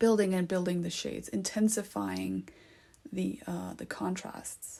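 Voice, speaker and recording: A woman at a fairly slow pace, with big swings in loudness. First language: not English. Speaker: art tutorial creator. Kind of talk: tutorial. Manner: hesitant, many fillers; casual, conversational.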